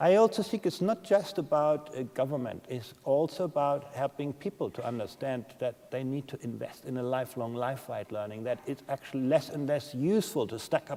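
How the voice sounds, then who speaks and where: With a German accent, a man speaks at a fairly high pitch with lively intonation. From Germany. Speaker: education policy expert. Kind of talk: conference Q&A.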